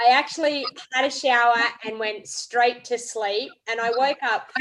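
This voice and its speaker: A high-pitched woman's voice in an Australian accent. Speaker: craft demonstrator and live stream host. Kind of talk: casual chat. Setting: video call. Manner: animated.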